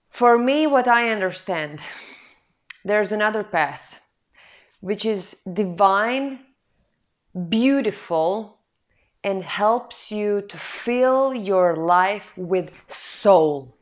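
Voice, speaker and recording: Speaking very slowly with a non-native accent, a woman uses a medium pitch and ordinary pitch variation, her loudness swinging widely between long, frequent pauses. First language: not English. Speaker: spiritual self-help vlogger. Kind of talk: personal testimony monologue. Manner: halting.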